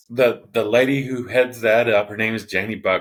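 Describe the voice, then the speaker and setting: The man's voice sits at a medium pitch with fairly even intonation. He talks at a fairly quick pace. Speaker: pickleball player. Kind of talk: interview. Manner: loud; halting, repeated words.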